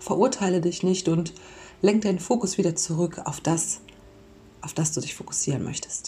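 A woman talks at a moderate pace with fairly even intonation. Hers is a normal speaking voice. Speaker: podcast host and mindfulness coach. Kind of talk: guided meditation. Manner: soft-spoken.

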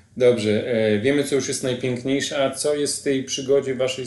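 The speech moves at a moderate pace with fairly even intonation. It is a plain, everyday voice. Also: man. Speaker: podcast host. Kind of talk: interview.

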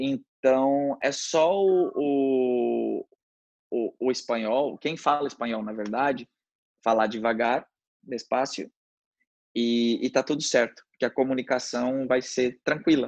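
A man at a very slow pace, medium in pitch with ordinary pitch variation, in a dry, close sound with no echo. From Brazil, Mato Grosso do Sul (Paranaíba). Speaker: podcast guest, native of the state. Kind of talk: casual interview. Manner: halting, many false starts.

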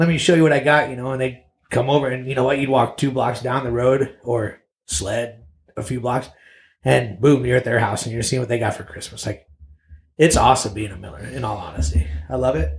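A man's medium-pitched voice with vocal fry and lively intonation. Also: fairly quick pace. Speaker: father in a blended family. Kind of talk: interview. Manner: soft-spoken.

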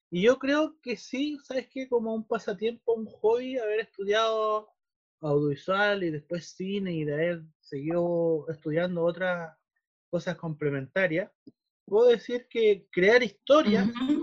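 Lively in intonation and high in pitch, a man's voice moves at a fairly slow pace. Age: 30s. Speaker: filmmaker. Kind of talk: casual interview chat. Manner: hesitant, many fillers.

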